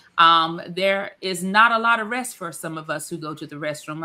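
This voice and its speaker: Fairly low female speech with ordinary pitch variation and an ordinary speaking voice. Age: 50s. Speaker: wellness product presenter. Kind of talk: casual live chat.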